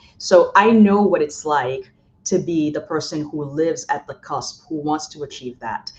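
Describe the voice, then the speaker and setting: Against a quiet background, a woman with a very deep, low pitch speaks at a moderate pace, with ordinary pitch variation and big swings in loudness. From Haiti, moved to Boston at twelve. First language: French and Haitian Creole. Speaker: college president. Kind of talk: podcast interview. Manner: frequent filler words, hesitant.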